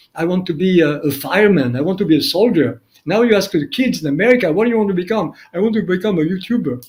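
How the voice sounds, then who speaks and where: Talking very fast with a strong French accent, a man uses a high voice and lively intonation. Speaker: documentary filmmaker. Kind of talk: interview.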